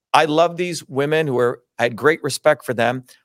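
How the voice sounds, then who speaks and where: A man talks at a fairly quick pace in an animated tone with ordinary pitch variation. The recording is very clean and dry, with a silent background and no echo. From India, then New Jersey. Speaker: scientist and presidential candidate. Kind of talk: interview.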